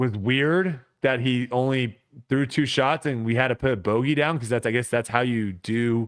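A man speaks at a moderate speed, and the background is quiet. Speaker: podcast co-host. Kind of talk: casual podcast storytelling. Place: home room. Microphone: studio mic.

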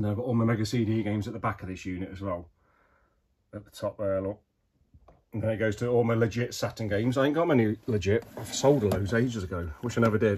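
Speaking at a very fast pace, a man with a fairly low, somewhat breathy voice shows ordinary pitch variation. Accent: British. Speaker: retro game collector. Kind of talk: room tour. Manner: casual, conversational.

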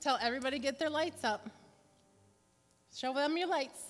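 A woman talks at a moderate pace with a high pitch and ordinary pitch variation. Light background noise can be heard. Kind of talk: casual instructions to congregation. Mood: cheerful, playful. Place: church.

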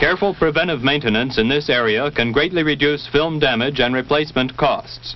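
In an ordinary speaking voice, a man with a fairly high pitch talks at a fairly quick pace, with very even loudness and ordinary pitch variation. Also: hardly any pauses. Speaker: military training film narrator. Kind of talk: vintage training film narration. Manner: formal, measured, authoritative; steady, even-paced, impersonal.

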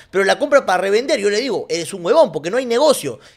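A man talks at a very fast pace, his tone animated and his intonation lively. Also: quiet background. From Peru. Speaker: streamer and football commentator; streamer, football commentator. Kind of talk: casual livestream commentary. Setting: livestream. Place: home room. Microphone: studio mic.

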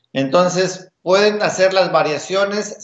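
There is audible echo in the room. A man is the one talking. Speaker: guest. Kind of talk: interview answer. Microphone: video call.

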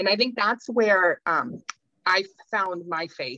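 Bright and sharp in tone, a woman speaks with lively intonation and a dry sound with no echo against a quiet background. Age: 40s. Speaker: peacebuilding panelist; panelist. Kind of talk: panel discussion. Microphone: video call.

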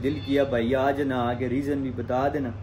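With light background noise behind him, a man talks at a fairly slow pace. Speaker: vlogger. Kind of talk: casual vlog chat. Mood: troubled, explaining a friend's absence. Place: home room. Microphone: phone near.

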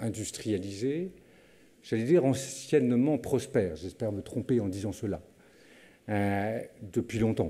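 Lively intonation marks this man's dark, mellow tone as he talks at a fairly slow pace. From France. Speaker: university director. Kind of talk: formal welcome speech. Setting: lecture hall with audience. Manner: formal. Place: hall. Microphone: podium.

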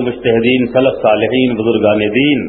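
There is noticeable background noise behind this man. He speaks at a medium pitch with flat, monotone intonation. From India, Bihar. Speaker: Deobandi Islamic scholar and public preacher. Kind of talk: religious sermon at a public gathering. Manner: humorous, argumentative, rhetorical.

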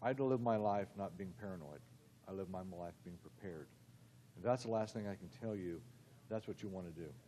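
A man's fairly low, dark, mellow voice at a fairly quick pace, with ordinary pitch variation and long, frequent pauses. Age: old. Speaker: forensic dentist, keynote speaker. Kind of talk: keynote speech. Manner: halting.

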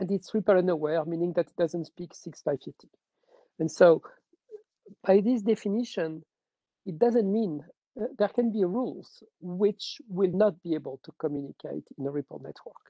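A woman with a dark, mellow tone and fairly low pitch talks at a moderate pace with ordinary pitch variation and big swings in loudness, the sound dry with no echo and the background quiet. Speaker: standards engineer. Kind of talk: technical discussion. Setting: video call. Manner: repetitive, stumbling. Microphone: video call.

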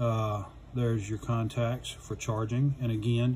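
A man speaks with monotone, flat intonation. Noticeable background noise runs underneath. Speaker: product reviewer. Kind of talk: tutorial. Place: workshop.

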